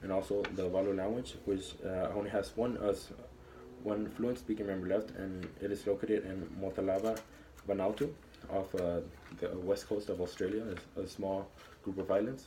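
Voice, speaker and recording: A man's fairly low, somewhat breathy voice with a dark, mellow tone, fairly even intonation and moderate pace. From Texas, El Paso. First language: Spanish. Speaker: college student. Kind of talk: class speech. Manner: halting, with fillers and restarts.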